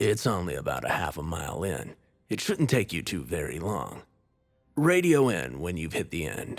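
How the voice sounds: Over music in the background, a man puts on a gravelly character voice with a very deep, low pitch, swinging his pitch very widely at a moderate pace.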